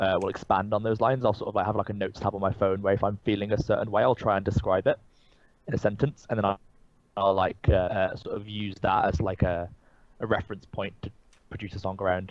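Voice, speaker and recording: Talking at a very fast pace, a man has a slight Birmingham accent. His pitch is fairly low and his intonation monotone and flat. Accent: English, little Birmingham twang. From English Midlands, Birmingham area. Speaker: singer-songwriter. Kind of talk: casual interview. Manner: hesitant, many fillers and restarts.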